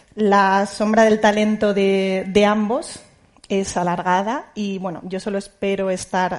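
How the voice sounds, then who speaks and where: A woman speaks at a medium pitch with a Spanish accent. Her intonation stays fairly even. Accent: Peninsular Spanish. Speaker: journalist moderator. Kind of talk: panel moderation. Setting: auditorium with audience. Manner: halting.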